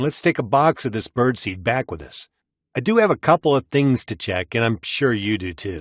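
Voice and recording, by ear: Reading aloud in a natural voice, with lively intonation and a quiet background.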